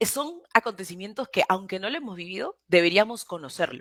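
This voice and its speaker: With lively intonation, a woman talks in a dry, close sound with no echo on a very clean recording with a silent background. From Peru. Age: 20s. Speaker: political activist, platform founder. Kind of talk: interview conversation. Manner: hesitant, many fillers and restarts.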